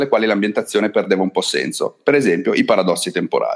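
A man talking at a very fast pace. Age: 40s. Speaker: game designer. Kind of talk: interview.

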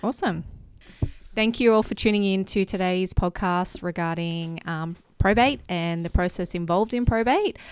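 Speaking at a moderate pace with an Australian accent, a woman uses medium pitch and ordinary pitch variation. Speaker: marketing manager. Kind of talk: casual chat.

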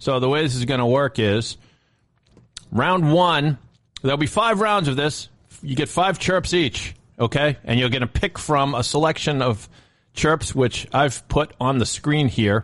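A man speaks at a fairly slow pace with a fairly high pitch, lively intonation and very even loudness. He has an unremarkable speaking voice, set against a quiet background. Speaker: podcast producer. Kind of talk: comedic segment banter.

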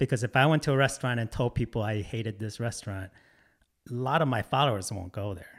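Recorded very clean with a silent background and a dry, close sound with no echo, a man of medium pitch speaks in a Michigan accent. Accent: Michigan American. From metro Detroit, Michigan. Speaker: food photographer and content creator. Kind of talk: casual chat. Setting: in-person studio recording.

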